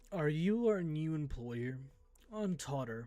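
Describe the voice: A man's put-on character voice, fairly high in pitch, with lively intonation and a fairly slow pace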